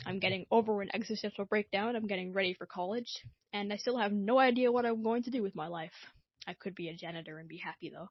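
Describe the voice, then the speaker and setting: Talking at a very fast pace, a woman uses a medium pitch with ordinary pitch variation and big swings in loudness. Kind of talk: personal video essay narration. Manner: casual, reflective.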